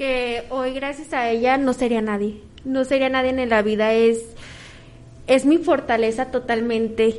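This woman has a high pitch and fairly even intonation. She speaks at a fairly slow pace. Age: 20s. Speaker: cosmetologist and spa therapist. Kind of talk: interview testimony. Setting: auditorium with audience. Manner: halting.

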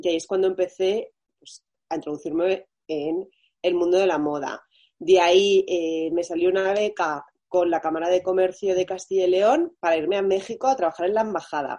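At a moderate pace, a woman talks in a plain, everyday voice with medium pitch and fairly even intonation. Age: 30s. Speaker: fashion brand founder. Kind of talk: interview.

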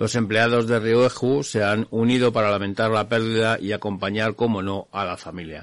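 Fairly low in pitch, a man talks at a moderate pace with hardly any pauses. His intonation stays fairly even. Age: 50s. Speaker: radio host of a motorcycle show. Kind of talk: radio show monologue. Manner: hesitant with frequent fillers.

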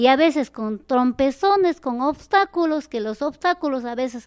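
At a fairly slow pace, a woman with a high pitch speaks in very wide pitch swings. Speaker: community association leader. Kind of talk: interview. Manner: halting.

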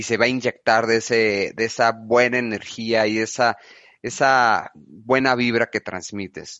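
A man's unremarkable speaking voice at medium pitch, fairly slow, with fairly even intonation. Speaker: podcast host, business consultant. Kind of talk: interview.

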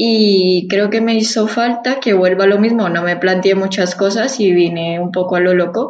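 A woman with an ordinary speaking voice talks at a moderate pace, medium in pitch with fairly even intonation. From Colombia, Bogotá. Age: 20s. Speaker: immigrant sharing experience. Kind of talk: interview.

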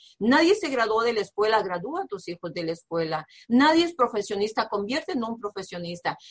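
Her voice is somewhat breathy and fairly high for a woman. She sounds animated, and her pitch swings very widely. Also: fairly quick pace, hardly any pauses. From Mexico, Nayarit. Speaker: business coach. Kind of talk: motivational talk.

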